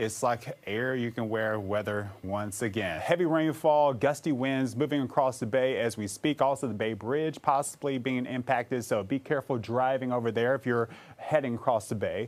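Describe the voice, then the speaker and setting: In a normal speaking voice, a man with an American accent talks at a moderate pace with hardly any pauses. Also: medium pitch for a man, ordinary pitch variation. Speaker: meteorologist. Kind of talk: TV weather forecast montage. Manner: upbeat, warm.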